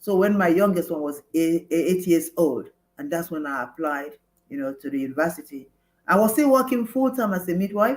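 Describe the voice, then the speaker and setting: A woman with a Nigerian accent talks at a fairly quick pace. Her fairly low voice swings very widely in pitch. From Nigeria (Igbo). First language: Igbo. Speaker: former mayor, nurse, midwife and lawyer. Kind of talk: interview. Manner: halting.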